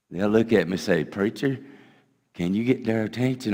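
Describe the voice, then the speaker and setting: A man talks with a Southern US accent at a fairly low pitch. His pace is fairly quick, with ordinary pitch variation. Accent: US South. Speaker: pastor. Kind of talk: sermon. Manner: loud.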